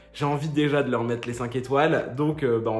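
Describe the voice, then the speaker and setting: In a room with audible echo, a man talks at a moderate pace with ordinary pitch variation. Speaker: book reviewer vlogger. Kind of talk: casual book review vlog. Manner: hesitant, many filler sounds.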